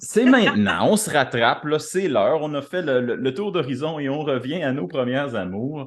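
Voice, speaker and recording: A woman with a very deep, low pitch and very wide pitch swings speaks at a moderate pace with hardly any pauses over noticeable background noise. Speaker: podcast co-host. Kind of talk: casual podcast conversation.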